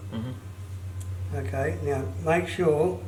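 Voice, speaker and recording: Over noticeable background noise, a man speaks with very wide pitch swings. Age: 80s+. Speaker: retired joiner. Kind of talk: instructional talk, saw sharpening lesson.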